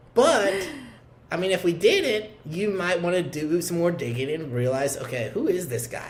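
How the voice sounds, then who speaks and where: Loud and animated, this voice with an American accent moves at a moderate pace with lively intonation, over noticeable background noise and audible room echo. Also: man, high pitch for a man. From Oklahoma. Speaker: insurance producer. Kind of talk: interview. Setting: office.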